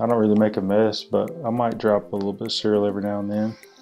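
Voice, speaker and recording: A man's fairly low, monotone voice at a moderate pace, flat in intonation, with music in the background. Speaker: husband doing voiceover for his wife's cleaning video. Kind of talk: casual talk to camera, voiceover commentary. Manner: casual, easygoing, conversational.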